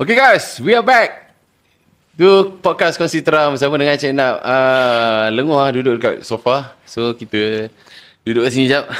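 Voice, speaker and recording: An unremarkable speaking voice from a man at a medium pitch, with ordinary pitch variation and a fairly slow pace. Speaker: podcast host. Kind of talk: casual podcast interview. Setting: studio.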